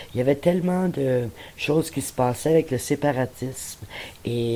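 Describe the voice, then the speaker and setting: A woman speaks with a very deep, low pitch. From Quebec, Montreal. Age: 60s. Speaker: retiree. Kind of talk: interview.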